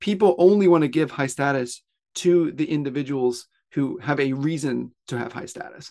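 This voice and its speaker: With an American accent and a plain, everyday voice, a man talks at a moderate pace, fairly high in pitch, with ordinary pitch variation. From US South (Pensacola, Florida). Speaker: author. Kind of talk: interview.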